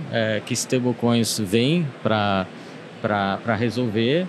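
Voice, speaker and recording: The speaker is a man. Noticeable background noise runs through the clip. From France. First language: French (speaking Portuguese). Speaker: business director in digital assets. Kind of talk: panel discussion podcast. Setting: podcast recorded at a trade event. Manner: halting, many fillers.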